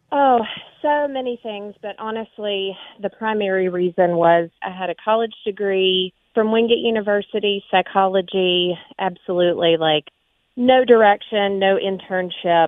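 A woman with an American accent uses a plain, everyday voice at a medium pitch with ordinary pitch variation. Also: moderate pace. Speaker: army veteran and counselor. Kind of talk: interview.

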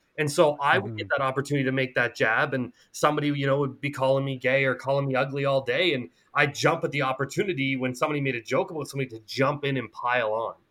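A man with a fairly high pitch talks very fast, with hardly any pauses. His tone is bright and sharp, his intonation fairly even. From rural Nova Scotia, Canada. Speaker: anti-bullying advocate. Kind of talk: interview.

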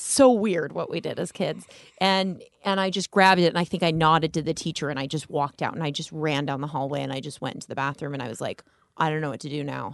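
A woman talks at a very fast pace with a very deep, low pitch. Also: ordinary pitch variation. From Las Vegas, US. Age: 30s. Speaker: comedian. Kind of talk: casual chat. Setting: studio.

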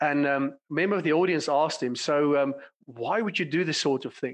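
A man with a South African accent talks at a fairly quick pace against a quiet background. His pitch is fairly high with ordinary variation. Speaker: clinical psychologist and company director. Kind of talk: casual interview conversation.

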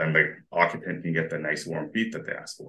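In a Western Canadian accent, a man speaks at a moderate pace with a very deep, low pitch and a bright, sharp tone. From Alberta, Canada. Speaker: mechanical engineer. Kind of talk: casual interview chat.

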